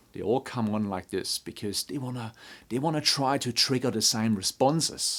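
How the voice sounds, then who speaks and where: Speaking at a moderate pace, a man with a non-native accent keeps a medium pitch and ordinary pitch variation. The recording is very clean, with a silent background. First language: not English. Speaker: construction leadership trainer. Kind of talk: tutorial. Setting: talking to a camera.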